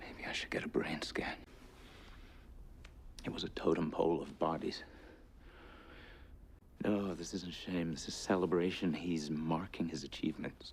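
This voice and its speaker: A soft-spoken, whispering man with long, frequent pauses. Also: moderate pace. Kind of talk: edited compilation of a TV drama character's dialogue, soft-spoken. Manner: soft-spoken, whispery.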